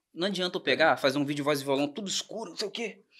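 Over a quiet background, a man talks very fast with lively intonation at a fairly high pitch. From Brazil, Volta Redonda (Rio de Janeiro state); Rio de Janeiro state, Brazil. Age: 20s. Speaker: songwriter; podcast guest. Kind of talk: casual chat. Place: studio. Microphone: studio mic.

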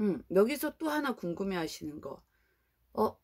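A woman talks at a fairly slow pace with a quiet background. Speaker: YouTuber. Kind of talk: vlog talk to camera. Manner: casual, hesitant fillers. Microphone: phone near.

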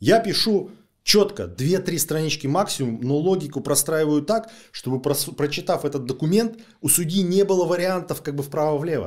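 Vocal fry runs through a man's voice at a moderate pace. The recording is very clean, with a silent background. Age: 40s. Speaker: lawyer. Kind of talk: interview.

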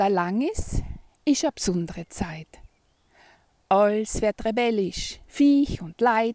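A woman with an East Tyrolean accent, fairly high pitch, a dark, mellow tone and lively intonation, in a dry sound with no echo and a quiet background. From East Tyrol, Austria. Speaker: poem reciter. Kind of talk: dialect poetry reading. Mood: cheerful, warm. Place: open country. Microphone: phone near.

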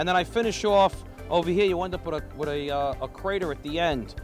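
A man talks at a moderate pace. The sound is dry with no echo, and music plays clearly in the background. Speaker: welding instructor. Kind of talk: tutorial. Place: hall.

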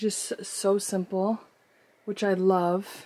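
A woman speaks in a dark, mellow tone with monotone, flat intonation. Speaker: lifestyle vlogger. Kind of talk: casual vlog chat. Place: home room.

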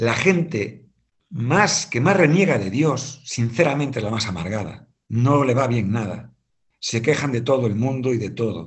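A man speaks with lively intonation and a somewhat breathy voice, in a Galician accent. His pace is fairly slow, and the background is quiet. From Galicia, Spain (Santiago de Compostela). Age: 50s. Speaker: economics teacher and businessman; guest. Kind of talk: testimony. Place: home room.

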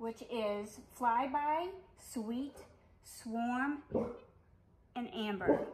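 A woman speaks at a high pitch and a very slow pace, with ordinary pitch variation. She leaves long, frequent pauses over noticeable background noise. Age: 40s. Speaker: beauty vlogger. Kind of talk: product review tutorial. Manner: casual, with frequent hesitations. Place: home room. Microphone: phone near.

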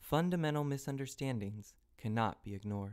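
A man talks fairly quickly in an unremarkable speaking voice, his pitch varying in an ordinary way, on a very clean recording where the background is silent. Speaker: voice actor. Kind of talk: educational narration.

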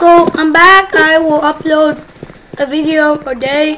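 Speech unfolds at a very slow pace, with noticeable background noise present throughout. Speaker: gaming youtuber. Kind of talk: gameplay commentary. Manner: animated.

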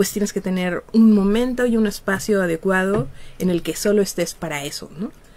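A woman speaks at a moderate pace. Her medium pitch shows ordinary variation. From Mexico. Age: 50s. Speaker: psychologist and researcher; radio guest. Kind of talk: interview. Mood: relaxed, laughing at times. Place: studio. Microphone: studio mic.

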